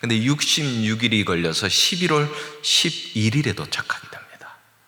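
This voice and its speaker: Noticeable background noise is present, along with audible room echo. The delivery is fairly slow. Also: man. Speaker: guest pastor and seminary professor, former missionary. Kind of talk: sermon. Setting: church. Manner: plain, easy-to-follow.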